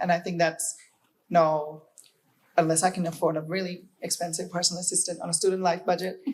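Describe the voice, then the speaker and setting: With a non-native accent, this voice moves along at a fairly quick pace. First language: not English. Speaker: university student on a panel. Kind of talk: panel discussion. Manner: halting, many fillers.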